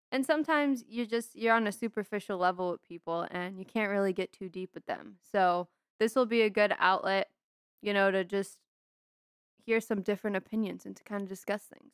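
A normal speaking voice from a woman, medium in pitch with ordinary pitch variation, fairly quick, with big swings in loudness, on a very clean recording with a silent background and a dry, close sound with no echo. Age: 20s. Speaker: podcast host. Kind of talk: solo podcast monologue. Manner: casual, conversational.

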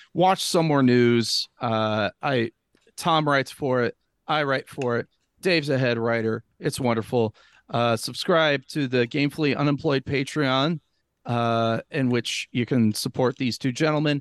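Against a quiet background, a man talks at a fairly slow pace in a normal speaking voice, with medium pitch and ordinary pitch variation. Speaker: podcast guest. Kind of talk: casual chat.

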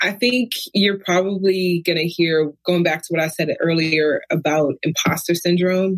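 An ordinary speaking voice from a woman with an American accent, fairly low in pitch and fairly slow, with fairly even intonation, very even loudness and hardly any pauses. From Brooklyn, New York. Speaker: university diversity administrator. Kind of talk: casual interview.

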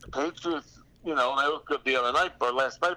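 A man with a Philadelphia accent speaks fairly quickly in a fairly high voice. His tone is bright and sharp, with ordinary pitch variation. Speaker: comedian and impressionist. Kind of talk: casual chat.

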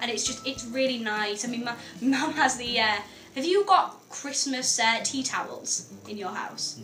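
A woman speaks with a high pitch and lively intonation. Her pace is fairly slow, and background noise is noticeable. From north-east England. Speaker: student radio co-host. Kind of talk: casual conversational. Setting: radio studio. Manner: chatty, lively.

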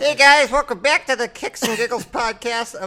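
This is a put-on character voice, croaky and fairly high in pitch. It moves at a moderate pace.

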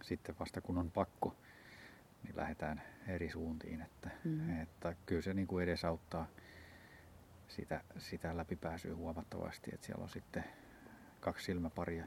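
A man with a very deep, low, somewhat breathy voice speaks in a monotone, flat way at a moderate pace, with long, frequent pauses. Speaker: ultrarunner. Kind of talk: casual chat. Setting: outdoors.

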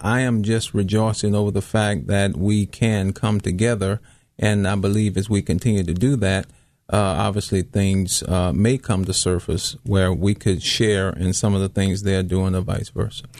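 A man with an ordinary speaking voice talks at a moderate pace, his pitch fairly low, his loudness very even and his intonation fairly even, against a quiet background. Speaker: pastor. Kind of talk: radio interview. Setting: studio.

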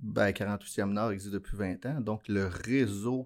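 On a very clean recording with a silent background, a man with a fairly low pitch speaks at a very slow pace with ordinary pitch variation. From Quebec, Abitibi-Témiscamingue. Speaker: mining business executive. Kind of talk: interview. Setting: studio. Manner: halting.

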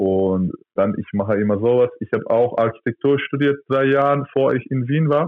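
His pitch is medium and varies in an ordinary way. The man's pace is moderate. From Turkey. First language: Turkish (speaking German). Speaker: professional handball player. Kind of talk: interview. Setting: phone or video call.

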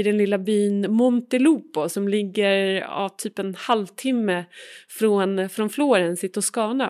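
Recorded very cleanly against a silent background, a woman speaks at a fairly slow pace in a medium pitch with ordinary pitch variation. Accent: Swedish. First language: Swedish. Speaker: podcast host. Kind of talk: interview; scripted narration. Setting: outdoors on stairs in a small Italian town.

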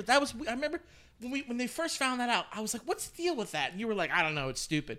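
A man speaks very fast in a raised, projected voice. His tone is bright and sharp, and his pitch swings very widely. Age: 30s. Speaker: podcast co-host. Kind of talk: casual chat.

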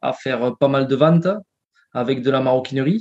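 A man's fairly high voice at a fairly slow pace. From southern France, near Carcassonne. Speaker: entrepreneur. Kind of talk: interview. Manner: halting, frequent repetitions.

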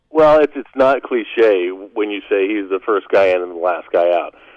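A man's ordinary speaking voice, dry and close with no echo, at a moderate pace with ordinary pitch variation. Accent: American. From Western Pennsylvania. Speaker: play-by-play announcer. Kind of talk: radio interview.

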